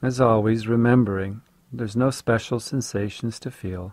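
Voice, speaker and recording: In a very clean recording with a silent background, a man with an ordinary speaking voice and medium pitch talks with fairly even intonation, the sound dry and close with no echo. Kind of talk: guided meditation. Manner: slow, calm, soothing, gently paced with long pauses; soft-spoken, instructive.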